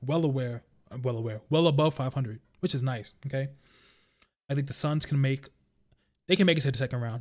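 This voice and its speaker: A man with a New York accent and a fairly high voice speaks very fast, with ordinary pitch variation and long, frequent pauses, on a very clean recording with a silent background. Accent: New York (Bronx). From New York City (Bronx). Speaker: sports podcast host. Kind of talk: casual sports talk monologue. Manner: casual, filler-heavy.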